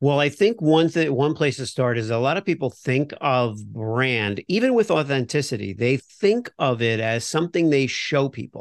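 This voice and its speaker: A man with an American accent and a normal speaking voice talks at a moderate pace with hardly any pauses. His pitch is fairly high, his intonation lively, and the sound dry and close with no echo. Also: quiet background. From Florida, US. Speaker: brand voice consultant and comedian. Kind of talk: casual interview.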